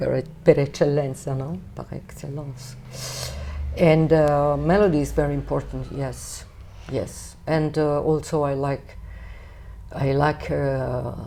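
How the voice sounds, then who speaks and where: A woman speaks very slowly in a Neapolitan accent, with long, frequent pauses. Her loudness swings widely. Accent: Italian (Neapolitan). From Naples, Italy. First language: Neapolitan/Italian. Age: 50s. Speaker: jazz singer. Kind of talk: interview. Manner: hesitant, with fillers.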